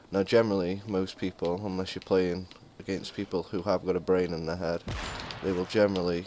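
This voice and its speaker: A man's very deep, low voice in a monotone, flat delivery, with noticeable background noise. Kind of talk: gaming commentary. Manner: casual.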